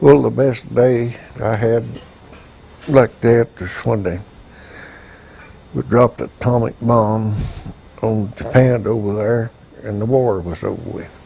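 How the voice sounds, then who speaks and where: With a Southern US accent, the speaker moves at a fairly slow pace with long, frequent pauses, big swings in loudness and ordinary pitch variation, over noticeable background noise. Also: man, medium pitch for a man. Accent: Southern American. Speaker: war veteran. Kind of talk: interview answer.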